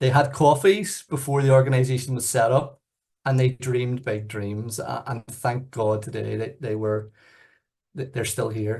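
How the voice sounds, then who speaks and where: A man speaks at a moderate pace with a Northern Irish accent. His voice is somewhat breathy over a quiet background. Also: medium pitch for a man, ordinary pitch variation. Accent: very Northern Irish. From Northern Ireland, Belfast. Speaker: youth organisation chief executive. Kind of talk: presentation.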